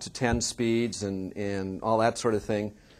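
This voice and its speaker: The speaker has a Californian accent. The intonation stays fairly even. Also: man. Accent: General American (Californian). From US West Coast, Oakland, California. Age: 50s. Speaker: journalist and author. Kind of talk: seminar talk. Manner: halting, with many repetitions and fillers.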